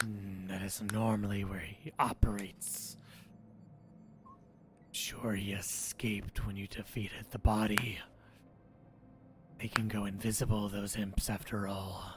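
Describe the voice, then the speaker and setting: A man puts on a raspy character voice, fairly low in pitch and flat and monotone, with long, frequent pauses and clear background noise. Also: fairly slow pace. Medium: actual play. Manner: terse, scheming.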